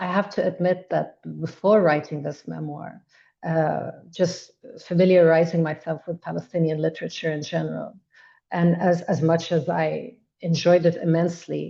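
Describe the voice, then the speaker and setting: The voice has a dark, mellow tone with vocal fry. It moves at a moderate pace in a monotone, flat intonation. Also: woman, fairly low pitch for a woman. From Egypt. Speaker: memoir author. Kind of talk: webinar panel discussion. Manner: halting, with repetitions.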